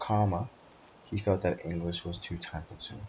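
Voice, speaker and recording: In a very deep, low voice, a man speaks with a non-native accent. His delivery is somewhat breathy and monotone, flat in intonation. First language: not English. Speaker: student. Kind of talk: class presentation. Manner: hesitant, with frequent fillers.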